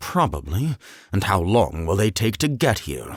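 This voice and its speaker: A man's soft-spoken, put-on character voice, fairly low in pitch with very wide pitch swings, at a moderate pace. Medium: read story. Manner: soft-spoken, pleasant with menace.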